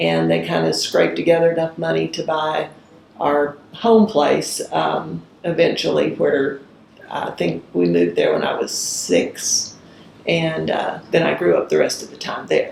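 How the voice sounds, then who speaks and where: A woman with an Arkansas accent, at a fairly slow pace with big swings in loudness, over noticeable background noise. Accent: Arkansas Southern US. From US South, rural northwest Arkansas. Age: 60s. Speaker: judge. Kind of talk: oral history interview.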